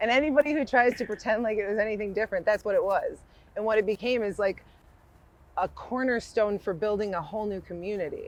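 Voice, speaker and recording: The voice carries an American accent and an animated tone. Its intonation is lively and its pace fairly quick. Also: woman. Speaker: music blogger and event promoter. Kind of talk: casual conversation. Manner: loud.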